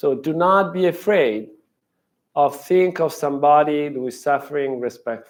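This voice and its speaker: A man's fairly high pitch with ordinary pitch variation, at a moderate pace. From Italy. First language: Italian. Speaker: professor. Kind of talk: lecture. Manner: halting.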